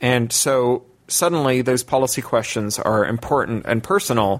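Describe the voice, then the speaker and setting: A man speaks in a plain, everyday voice at medium pitch, with ordinary pitch variation, a moderate pace and very even loudness. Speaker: science fiction writer and activist. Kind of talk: interview. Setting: remote call from London.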